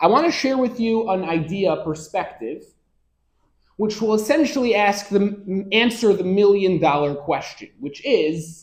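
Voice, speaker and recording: Speaking with an American accent, a man uses lively intonation at a moderate pace. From US Northeast (Rochester, New York). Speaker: rabbi and Torah lecturer. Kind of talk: lecture.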